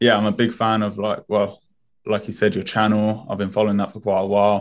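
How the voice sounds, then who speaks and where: The speaker talks at a fairly quick pace in a British accent. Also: man. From Spain, then England from age ten. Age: 20s. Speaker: streetwear brand founder. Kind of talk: podcast interview.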